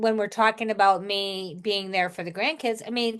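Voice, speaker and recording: In an ordinary speaking voice, the speaker talks at a moderate pace with ordinary pitch variation against a quiet background. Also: woman. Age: 60s. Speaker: podcast host, retired teacher. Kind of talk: casual chat.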